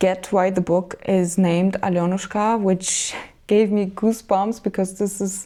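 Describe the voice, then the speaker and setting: At a fairly slow pace, the speaker talks with a Moldovan accent in a dark, mellow tone. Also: woman. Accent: Romanian (Moldovan) accent in English. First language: Romanian. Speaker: book vlogger. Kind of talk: book review monologue. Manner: casual, hesitant with fillers.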